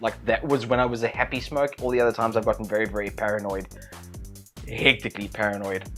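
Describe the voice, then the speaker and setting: Talking at a very fast pace over background music, a man keeps a medium pitch. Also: fairly even intonation. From South Africa. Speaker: YouTuber. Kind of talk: casual talk to camera.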